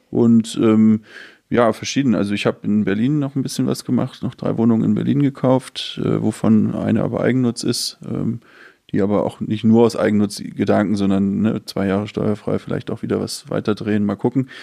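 At a moderate pace, a man with a fairly low pitch and a dark, mellow tone speaks with ordinary pitch variation. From Hamburg, northern Germany. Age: 30s. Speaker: real estate startup founder and investor. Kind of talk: casual interview.

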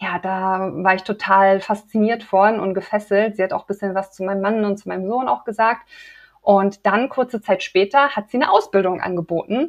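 A woman with an unremarkable speaking voice talks at a moderate pace, her pitch medium. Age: 30s. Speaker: women's health coach. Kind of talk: interview.

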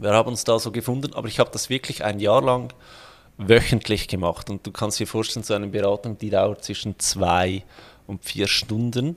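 A man with an ordinary speaking voice talks at a fairly low pitch and moderate pace, with ordinary pitch variation. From Switzerland. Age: 30s. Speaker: financial planner and online entrepreneur. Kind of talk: interview.

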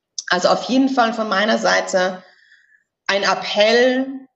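Fairly slow speech from a woman, her pitch varying in an ordinary way. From Austria, Styria. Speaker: executive search consultant. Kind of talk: interview.

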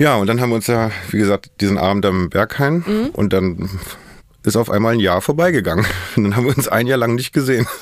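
The speech comes very fast and at a very even loudness, with ordinary pitch variation and noticeable background noise. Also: man, medium pitch for a man. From Germany, Berlin. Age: 40s. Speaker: podcast guest. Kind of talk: casual interview. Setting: studio.

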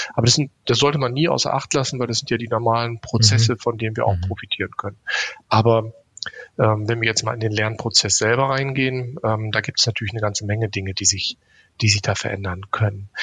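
At a very fast pace, a man with a medium-pitched voice talks with fairly even intonation. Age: 50s. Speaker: education company executive. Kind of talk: podcast interview.

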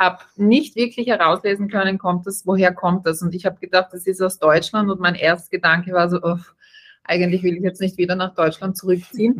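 A woman talks fairly quickly with an unremarkable speaking voice. Her pitch sits in the middle, and her intonation stays fairly even. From Austria. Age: 30s. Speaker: startup co-founder, hospitality background. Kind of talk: interview.

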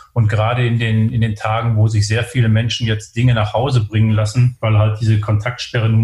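A man talks at a fairly quick pace with a medium pitch. His delivery is monotone, flat and somewhat breathy. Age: 50s. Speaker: logistics company executive. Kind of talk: interview. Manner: halting, many filler sounds.

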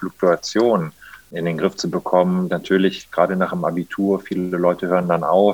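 Heard with a dry, close sound with no echo, a man with an unremarkable speaking voice talks at a fairly low pitch and a moderate pace. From Germany, Rhineland (Monheim am Rhein, between Cologne and Düsseldorf). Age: 30s. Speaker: mayor. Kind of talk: interview.

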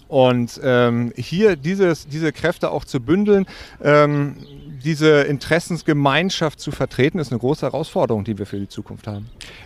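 Lively intonation marks this man's ordinary speaking voice, which sits fairly high in pitch and moves at a moderate pace. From northern Germany (Wedel, near Hamburg). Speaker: angling association executive. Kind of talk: interview. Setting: outdoors by the water.

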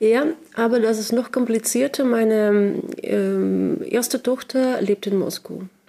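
Speaking at a very slow pace with a Russian accent, a woman keeps a fairly high pitch, ordinary pitch variation and very even loudness. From Russia, Sakhalin island. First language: Russian (speaking German). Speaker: writer and translator. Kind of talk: interview. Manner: halting, many fillers.

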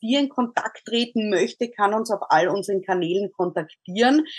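A woman's unremarkable speaking voice at medium pitch, with ordinary pitch variation, a moderate pace and hardly any pauses. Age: 40s. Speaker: podcast host. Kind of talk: interview.

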